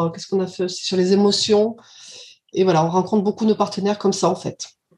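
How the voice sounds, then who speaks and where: This woman has a medium-pitched voice with a dark, mellow tone. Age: 50s. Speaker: childminder, club co-founder. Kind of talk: casual interview.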